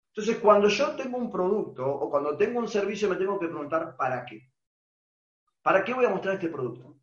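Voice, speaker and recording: A man with an Argentine accent, high in pitch with very wide pitch swings, at a fairly quick pace broken by long, frequent pauses. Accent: Rioplatense Argentine Spanish. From Argentina. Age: 40s. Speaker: online business trainer. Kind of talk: webinar presentation.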